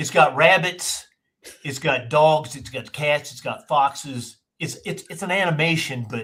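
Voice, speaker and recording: A man's fairly high voice with a bright, sharp tone, fairly slow pace, ordinary pitch variation and big swings in loudness. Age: 60s. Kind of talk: casual chat.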